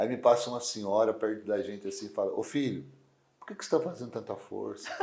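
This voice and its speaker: A very fast-talking man over noticeable background noise. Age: 40s. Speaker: strongman athlete. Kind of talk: interview. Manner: casual, lively storytelling.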